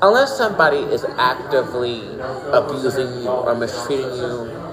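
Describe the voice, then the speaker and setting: Noticeable noise sits behind the voice. The man talks at a moderate pace. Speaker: tarot reader. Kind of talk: tarot reading. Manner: halting.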